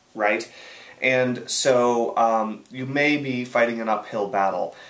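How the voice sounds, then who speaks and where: A man's unremarkable speaking voice at a medium pitch and a fairly slow pace. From USA. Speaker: online marketing coach. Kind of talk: video Q&A answer. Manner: casual, many fillers and restarts.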